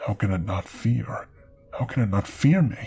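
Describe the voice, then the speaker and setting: Someone does a put-on character voice, low in pitch, at a moderate pace. Clear music plays in the background. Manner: strained, through clenched teeth.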